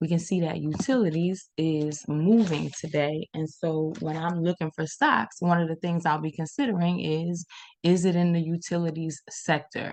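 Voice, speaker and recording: A woman talks at a moderate pace in a fairly low pitch, with ordinary pitch variation and hardly any pauses. It is an ordinary speaking voice. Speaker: stock trading educator. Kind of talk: screen-share tutorial.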